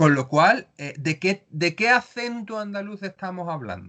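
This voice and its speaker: The voice is raised and projected, with a bright, sharp tone and lively intonation. It moves at a very slow pace over a quiet background. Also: man. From Andalusia, Cádiz province (Jerez, El Puerto, Cádiz). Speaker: writer and playwright. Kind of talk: interview.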